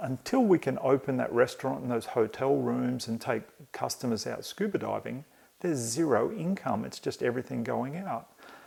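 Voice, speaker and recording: This speaker has an Australian accent. He is a man talking at a moderate pace. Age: 50s. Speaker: podcast host. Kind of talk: solo podcast monologue. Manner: halting, with many fillers.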